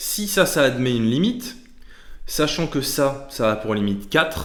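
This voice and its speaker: A man's fairly high voice with lively intonation at a fairly slow pace, amid audible room echo. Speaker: maths teacher on video channel. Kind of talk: tutorial. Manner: halting.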